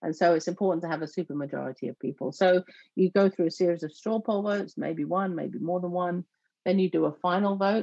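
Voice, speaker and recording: Over a quiet background, a woman with a southern English accent talks at a very fast pace in a fairly low pitch with a dark, mellow tone. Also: ordinary pitch variation, dry sound with no echo. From southeast England. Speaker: church network organizer; guest. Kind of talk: interview conversation. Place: home room. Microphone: video call.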